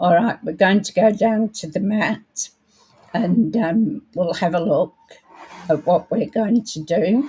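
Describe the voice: A woman uses a put-on character voice, raspy and hoarse at a medium pitch. She speaks at a fairly slow pace.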